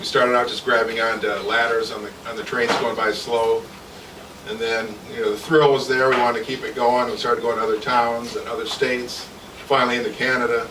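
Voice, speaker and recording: A man talks at a fairly quick pace with a Midwestern American accent. Audible room echo and noticeable background noise fill the recording. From Michigan, Jackson. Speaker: author. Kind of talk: author talk at a reading event. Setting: live event with audience, on a mic.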